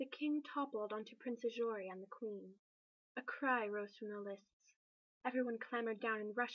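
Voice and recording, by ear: The speaker reads aloud in a natural voice against a quiet background.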